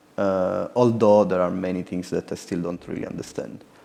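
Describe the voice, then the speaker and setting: Over noticeable background noise, a man's fairly low voice keeps a fairly even intonation. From Italy. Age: 30s. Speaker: artist. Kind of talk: artist talk and audience Q&A. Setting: stage with audience.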